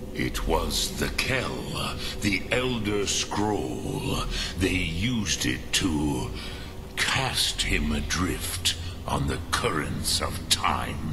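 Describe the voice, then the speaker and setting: Over loud background noise, a man does a put-on character voice with a very deep, low pitch at a very slow pace. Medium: machinima. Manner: slow, measured, mixes dragon-tongue words.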